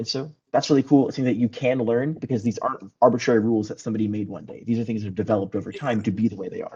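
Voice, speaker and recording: A man with a dark, mellow tone talks at a very fast pace with hardly any pauses. His intonation is fairly even, though his loudness swings widely. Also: medium pitch for a man. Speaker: college debate club member. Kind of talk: casual club meeting talk.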